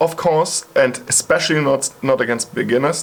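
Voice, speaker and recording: A man with a German accent speaks at a fairly slow pace. Noticeable background noise can be heard. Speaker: psytrance producer and YouTuber. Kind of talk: video monologue response. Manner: casual.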